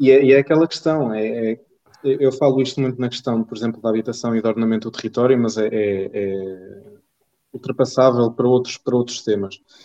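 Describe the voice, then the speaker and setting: Dark and mellow in tone, the voice moves at a moderate pace with fairly even intonation. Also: man, medium pitch for a man. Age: 20s. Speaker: doctor and political party member. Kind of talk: political discussion. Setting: live stream.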